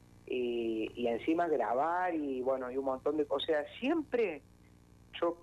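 A plain, everyday voice, its pitch varying in an ordinary way. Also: man. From Argentina, Córdoba province (Bell Ville). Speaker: folk singer. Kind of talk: interview.

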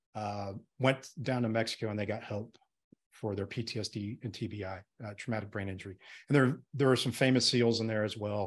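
A man with an American accent and an ordinary speaking voice talks at medium pitch and a moderate pace, with fairly even intonation over a quiet background. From Colorado, US. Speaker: consultant and former navy pilot. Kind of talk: casual interview.

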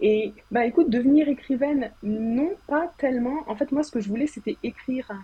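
Her pitch high, a woman talks at a fairly slow pace with lively intonation. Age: 30s. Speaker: novelist. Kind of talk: casual chat. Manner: calm; soft-spoken.

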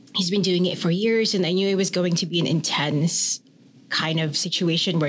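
Noticeable background noise under a woman speaking at a moderate pace, her pitch fairly low, with ordinary pitch variation. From Philippines. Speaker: massage therapist. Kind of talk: casual interview.

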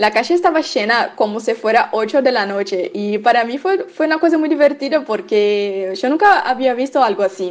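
A woman speaks with a Portuguese accent at a moderate pace. Her fairly high voice has lively intonation. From Brazil. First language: Portuguese (speaking Spanish). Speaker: medical student. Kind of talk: prepared testimony.

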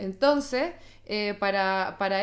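A woman with a Chilean accent. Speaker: psychologist. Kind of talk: interview. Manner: fast.

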